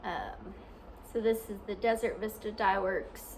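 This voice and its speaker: A woman with an American accent speaks at a fairly slow pace. Light background noise can be heard. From US South, southwest Arkansas. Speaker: knitting podcaster. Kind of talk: casual video podcast. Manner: halting, many ums and restarts. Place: home room. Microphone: phone near.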